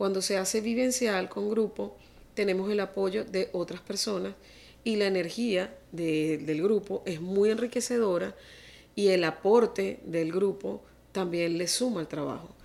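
A woman with an ordinary speaking voice, medium pitch, ordinary pitch variation and a fairly slow pace. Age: 50s. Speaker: family constellation therapist. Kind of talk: interview.

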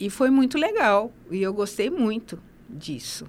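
A woman's voice swings very widely in pitch. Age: 50s. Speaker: nurse and master's graduate. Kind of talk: interview. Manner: halting, many fillers.

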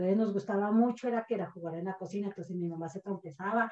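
Using an unremarkable speaking voice, a woman speaks at a fairly quick pace in a medium pitch with ordinary pitch variation. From Colombia, rural village of San Lorenzo. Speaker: podcast guest, mother of a co-host. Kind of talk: casual storytelling interview.

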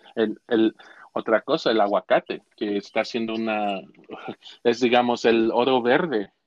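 Fairly slow, fairly even speech in a central Mexican accent. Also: man, medium pitch for a man. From Mexico, Cuautla, Morelos. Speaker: Mexican immigrant sharing his life story. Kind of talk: interview, personal storytelling. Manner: halting, many repetitions and fillers.

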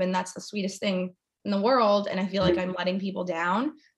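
Very fast speech comes from a woman at a medium pitch. Her voice is somewhat breathy. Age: 20s. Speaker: YouTuber and former model. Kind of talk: casual interview chat about mental health. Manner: animated.

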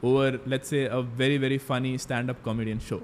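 A man with an Indian accent, at medium pitch and a moderate pace. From Mangalore, coastal Karnataka, India. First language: Tulu. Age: 20s. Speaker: finance content creator. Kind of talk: casual interview.

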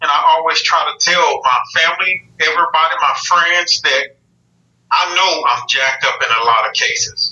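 With a strong Southern US accent, a man talks at very even loudness. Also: moderate pace. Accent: strong Southern country. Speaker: army veteran, test engineer. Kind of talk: casual interview chat.

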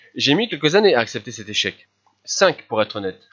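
Speaking at a fairly quick pace, a man uses very wide pitch swings. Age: 50s. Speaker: life coach. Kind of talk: solo podcast monologue.

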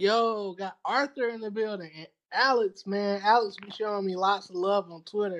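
In a Southern US accent, a man speaks at a high pitch and moderate pace with fairly even intonation and big swings in loudness. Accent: Southern US (Georgia). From US South, rural Georgia. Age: 30s. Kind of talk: casual interview chat.

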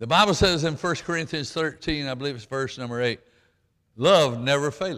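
In a very clean recording with a silent background, a man talks at a moderate pace with a fairly high pitch, a bright, sharp tone and ordinary pitch variation. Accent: Southern US. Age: 80s+. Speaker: pastor. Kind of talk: sermon. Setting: church with congregation. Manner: folksy, halting.

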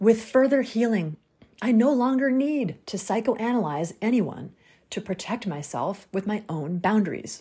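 A woman speaks at a fairly slow pace in a somewhat breathy, dark, mellow tone. Her pitch sits fairly high, with lively intonation. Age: 40s. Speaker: podcast host. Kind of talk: solo monologue podcast.

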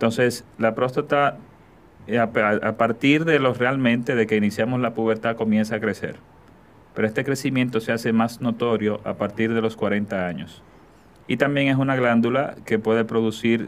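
A man with a normal speaking voice speaks at a medium pitch and with fairly even intonation. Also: moderate pace. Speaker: urologist and oncologist. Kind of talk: interview, medical explanation.

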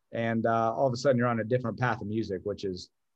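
Talking at a very fast pace, a man speaks with an Ohio accent. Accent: Midwestern American (Ohio). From northeast Ohio, Youngstown. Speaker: music fan, longtime friend of host. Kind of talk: casual chat. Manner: halting, frequent repetitions.

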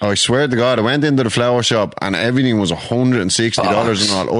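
Over noticeable background noise, a man with an Irish accent speaks at a medium pitch with ordinary pitch variation. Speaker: podcast host.

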